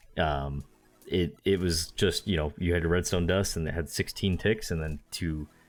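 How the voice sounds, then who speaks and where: With music in the background, a man speaks at a moderate pace in a very deep, low voice with ordinary pitch variation. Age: 20s. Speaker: gaming podcast co-host. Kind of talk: casual chat. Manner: halting.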